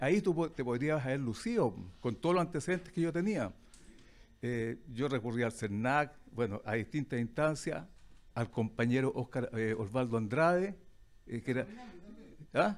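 The speaker is a man going at a moderate pace. Very wide swings mark his pitch. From Chile, Quillota; Chile. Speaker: audience member, former bank employee; audience member. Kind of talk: heated audience question. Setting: restaurant with live audience. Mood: confrontational, accusing. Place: cafe. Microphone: handheld.

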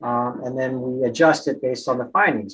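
Speaking fairly quickly, a man talks with an American accent. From New York. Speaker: colorectal surgeon. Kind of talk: interview. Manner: hesitant, frequent fillers. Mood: calm, reassuring. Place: office. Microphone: video call.

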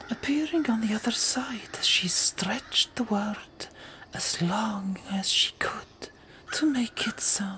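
This is a natural reading voice. It carries the words along.

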